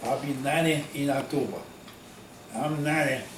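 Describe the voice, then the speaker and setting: A man with an American accent and a fairly high pitch, amid audible room echo and noticeable background noise. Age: 80s+. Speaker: war veteran. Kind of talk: oral history interview. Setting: at his home. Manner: halting.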